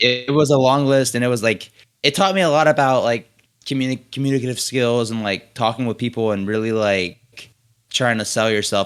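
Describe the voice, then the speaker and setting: An American-accented man at a fairly quick pace, with ordinary pitch variation. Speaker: film student and director. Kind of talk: interview. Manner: fast.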